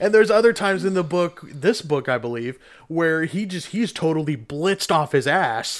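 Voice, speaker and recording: Lively intonation marks a man's plain, everyday voice, pitched fairly high. He talks at a moderate pace. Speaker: podcast host. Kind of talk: casual chat. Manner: joking, profane.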